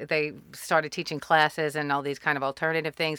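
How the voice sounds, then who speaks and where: A woman's very deep, low voice, bright and sharp in tone, with an American accent, a fairly quick pace and flat, monotone intonation, on a very clean recording with a silent background. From US South, New Orleans. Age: 50s. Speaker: opera composer and army veteran. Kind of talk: casual chat. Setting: studio.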